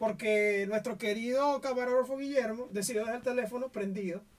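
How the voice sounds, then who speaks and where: A man with a Venezuelan accent speaks at a moderate pace and an extremely high pitch, with fairly even intonation. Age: 20s. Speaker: podcast host. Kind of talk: casual chat.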